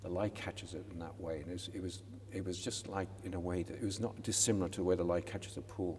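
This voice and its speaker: Through audible room echo, a man with a very deep, low pitch sounds somewhat breathy, talking at a very fast pace in a monotone, flat intonation. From west coast of Ireland. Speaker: sculptor. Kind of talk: interview. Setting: college chapel. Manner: halting, many repetitions.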